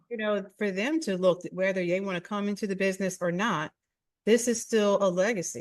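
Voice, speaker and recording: Ordinary pitch variation runs through this woman's fairly quick speech. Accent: slight Philadelphia. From Philadelphia. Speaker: podcast host. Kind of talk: casual interview chat.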